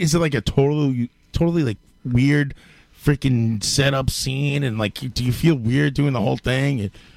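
A man speaks with a New York accent. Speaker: podcast host. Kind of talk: casual chat. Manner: profane and joking.

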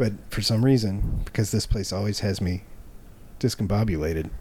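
A man speaks at a fairly low pitch, somewhat breathy, with ordinary pitch variation. His tone is dark and mellow. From small-town America. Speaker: comedy podcast host. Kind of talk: casual chat.

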